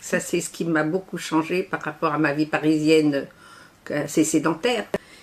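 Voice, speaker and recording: This woman's pitch is very deep and low. She keeps her intonation fairly even. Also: moderate pace. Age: 80s+. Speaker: association volunteer representative. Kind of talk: interview. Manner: hesitant.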